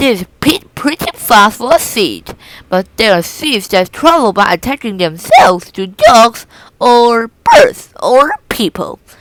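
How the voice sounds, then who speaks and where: Putting on a character voice, a woman speaks at a fairly slow pace in a fairly high pitch with a cheerful, upbeat tone. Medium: read story.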